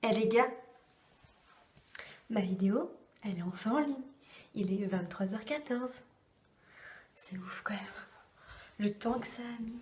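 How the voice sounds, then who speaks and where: Speaking at a fairly slow pace with long, frequent pauses, a woman uses a fairly high pitch and ordinary pitch variation. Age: 20s. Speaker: vlogger. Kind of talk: vlog. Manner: hesitant, many fillers.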